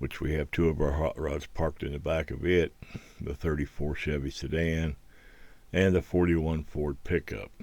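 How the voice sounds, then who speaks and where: A man speaks with an American accent in a very deep, low pitch. His intonation is fairly even, and his voice carries vocal fry. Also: moderate pace. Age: 70s. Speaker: hobbyist video creator. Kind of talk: voiceover narration. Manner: halting.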